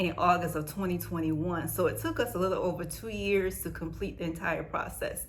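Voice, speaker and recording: Audible room echo surrounds a woman speaking at a fairly low pitch with vocal fry. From United States. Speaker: vlogger sharing family immigration experience. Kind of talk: casual storytime vlog. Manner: fast; chatty.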